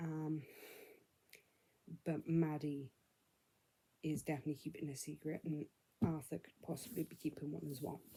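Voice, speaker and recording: Somewhat breathy and dark, mellow in tone, a woman's very deep, low voice moves at a moderate pace. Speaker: book vlogger. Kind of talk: casual vlog, book recap. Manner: speaking quietly.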